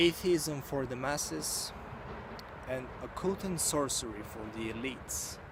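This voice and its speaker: With a Bulgarian accent and lively intonation, a man at medium pitch talks at a fairly slow pace amid noticeable background noise and audible room echo. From Bulgaria, rural village. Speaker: YouTuber, book reviewer. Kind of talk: book review monologue. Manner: halting, many fillers.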